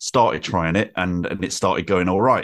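With a Mancunian accent, a man at very deep, low pitch speaks at a fairly quick pace against a quiet background. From Manchester, northern England. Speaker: writer, podcaster and musician. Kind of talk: casual chat.

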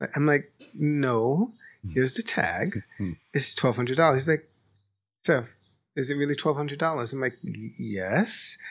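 A man with a New York accent and a fairly high pitch speaks at a moderate pace with lively intonation and long, frequent pauses, in a very clean recording with a silent background. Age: 40s. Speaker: senior editor. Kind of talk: casual discussion. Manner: halting.

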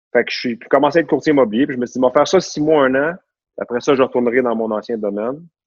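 A man's very fast speech at a medium pitch, with ordinary pitch variation. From Quebec, Laval. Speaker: real estate broker. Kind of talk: interview conversation. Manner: animated.

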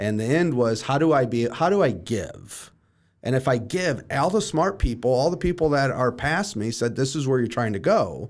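A man with a plain, everyday voice talks at a moderate pace and a medium pitch. His intonation is lively. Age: 30s. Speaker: real estate team leader and coach. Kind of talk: casual interview.

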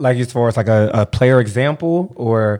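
A man's medium-pitched, plain, everyday voice at a moderate pace. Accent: American. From Cincinnati, Ohio. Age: 20s. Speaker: high school basketball coach and podcast producer. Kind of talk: casual interview.

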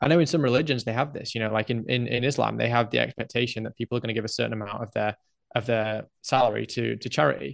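A man with an English accent and medium pitch talks very fast with vocal fry, his sound dry and close with no echo against a quiet background. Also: ordinary pitch variation. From England. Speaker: podcaster. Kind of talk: casual chat. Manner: halting, many fillers and repeats.

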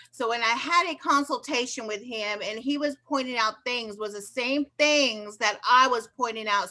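Bright, sharp tone at a moderate pace with ordinary pitch variation. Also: woman. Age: 50s. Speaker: hairstylist and patient. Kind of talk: casual interview.

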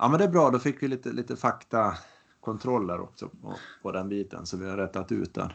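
With vocal fry and a fairly low pitch, a man talks at a fairly quick pace, his intonation lively and his loudness swinging widely. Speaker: triathlon podcast co-host, amateur athlete. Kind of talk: casual chat.

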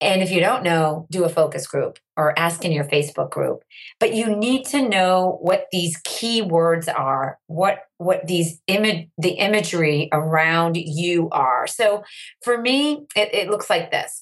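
At a fairly slow pace, a woman speaks in an unremarkable speaking voice at medium pitch. Her intonation is lively and her loudness very even. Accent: American. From US Northeast, Andover, Massachusetts. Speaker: social media educator and entrepreneur. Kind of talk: interview.

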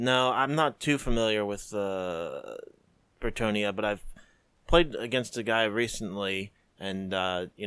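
An unremarkable speaking voice from a man, fairly low and fairly slow, with ordinary pitch variation, on a very clean recording with a silent background. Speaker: hobby co-host. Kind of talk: casual chat.

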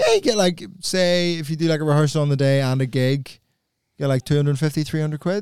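A man speaks with a Belfast accent at a fairly high pitch. His pace is moderate and his pitch variation ordinary. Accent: posh Belfast (Northern Irish). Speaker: comedian. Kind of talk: casual banter.

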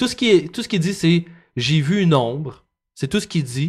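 A man with a Quebec accent, fairly high in pitch, with lively intonation. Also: very clean recording, silent background. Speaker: podcast host. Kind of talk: storytelling.

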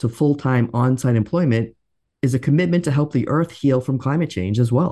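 Against a quiet background, a man with a medium pitch speaks in a dark, mellow, somewhat breathy tone, with ordinary pitch variation and very even loudness. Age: 50s. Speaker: podcast co-host, adult educator. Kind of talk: scripted podcast conversation.

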